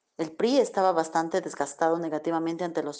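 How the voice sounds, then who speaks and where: Speaking fairly quickly over a quiet background, a woman with a fairly low pitch and a dark, mellow tone keeps her intonation fairly even. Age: 40s. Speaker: student's mother. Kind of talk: testimony. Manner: formal.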